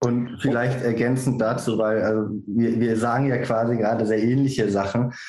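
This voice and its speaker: A man with a dark, mellow tone talks in a flat monotone at very even loudness with hardly any pauses. Room echo is audible. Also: medium pitch for a man, moderate pace. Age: 30s. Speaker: political candidate. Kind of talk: panel discussion.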